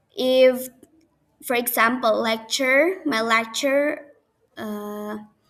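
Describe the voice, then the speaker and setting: A woman with an Indonesian accent speaks in a high voice, her pitch rising and falling in an ordinary way. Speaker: university student. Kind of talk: class presentation video. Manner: halting.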